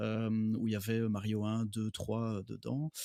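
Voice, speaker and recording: This man speaks at a very slow pace. His pitch is medium. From Belgium. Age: 30s. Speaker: doctor and gaming guest. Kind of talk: casual podcast chat.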